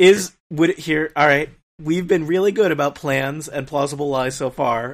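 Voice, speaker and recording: An ordinary speaking voice from a man, fairly high in pitch, at a moderate pace, with ordinary pitch variation. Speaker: tabletop game player. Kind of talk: tabletop roleplaying game, casual banter.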